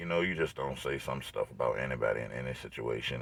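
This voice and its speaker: Amid noticeable background noise, a man with an American accent speaks at a moderate pace. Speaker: vlogger. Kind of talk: casual vlog monologue. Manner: filler-heavy, repeats 'you know what I'm saying'; animated.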